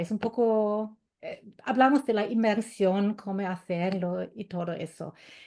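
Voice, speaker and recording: A woman with a German accent speaks at a fairly slow pace in a dark, mellow tone. The background is quiet. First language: German (speaking Spanish). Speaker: German language teacher. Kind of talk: webinar presentation. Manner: halting.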